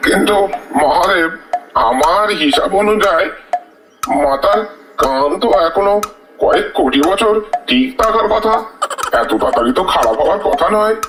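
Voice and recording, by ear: In a cartoonish character voice pitched high for a man, he speaks at a moderate pace with a slight echo.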